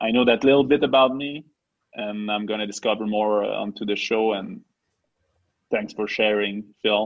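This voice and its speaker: A man with a French accent, fairly even in intonation, with long, frequent pauses. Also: fairly low pitch for a man, moderate pace. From Quebec. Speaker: podcast co-host. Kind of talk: casual chat.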